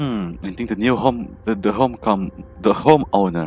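Reading aloud in an unforced voice

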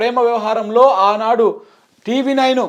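Against a quiet background, a man speaks in an animated tone at a high pitch. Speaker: political commentator. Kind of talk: political commentary.

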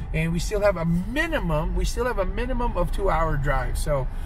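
A man at a fairly quick pace, his loudness very even, in a dry, echo-free sound with noticeable background noise. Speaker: martial arts school host. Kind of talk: casual vlog chat. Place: car. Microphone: phone near.

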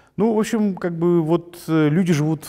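With a quiet background, a man's tone comes across dark and mellow. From Gagauzia, Moldova; Moldova. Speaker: journalist, head of a news site. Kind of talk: interview. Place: studio. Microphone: lapel.

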